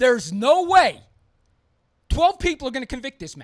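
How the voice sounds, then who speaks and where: A shouting man at a fairly quick pace, extremely high in pitch, with very wide pitch swings. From US East Coast. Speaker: podcast host. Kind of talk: opinionated podcast monologue. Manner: loud, yelling; emphatic, repetitive.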